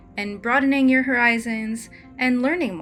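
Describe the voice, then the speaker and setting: With music in the background, the speaker uses a relaxed tone, a moderate pace and ordinary pitch variation. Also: woman. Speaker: storyboard artist. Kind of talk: casual tutorial talk over drawing. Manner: casual, relaxed.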